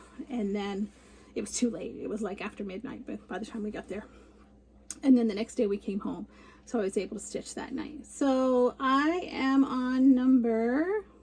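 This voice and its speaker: A woman's fairly high, a plain, everyday voice at a moderate pace with ordinary pitch variation. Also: big swings in loudness. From Canada. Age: 60s. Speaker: cross stitch vlogger. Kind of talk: casual chat.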